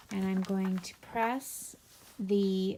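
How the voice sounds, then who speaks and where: A woman's somewhat breathy, dark and mellow voice at medium pitch, with fairly even intonation and a very slow pace. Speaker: sewing instructor. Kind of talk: tutorial.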